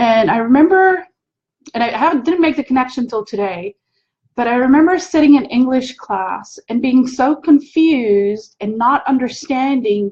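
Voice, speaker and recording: At a moderate pace, a woman with a high pitch speaks with lively intonation. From South Africa. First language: Afrikaans. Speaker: spiritual teacher and hypnotherapist. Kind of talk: live stream talk.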